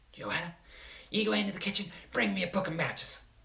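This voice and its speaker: Using a put-on character voice, a man speaks at a very fast pace with a high pitch. There is hissing in the sound. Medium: read story. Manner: stern, commanding.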